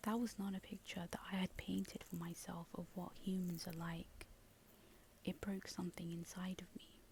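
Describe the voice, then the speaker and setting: The speaker is soft-spoken and talks at a moderate pace. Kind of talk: ASMR soft-spoken reflective monologue.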